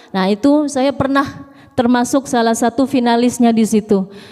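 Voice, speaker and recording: Over noticeable background noise, a woman with a high pitch speaks at a moderate pace with ordinary pitch variation. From Jakarta, Indonesia. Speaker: preacher. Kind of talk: sermon. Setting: mosque with congregation.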